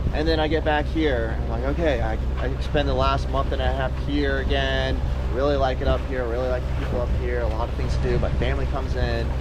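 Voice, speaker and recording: Over noticeable background noise and audible room echo, a man speaks fairly quickly at a very deep, low pitch, with monotone, flat intonation and very even loudness. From Florida. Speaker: sailing vlogger. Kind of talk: casual vlog talk to camera. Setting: on a sailboat outdoors.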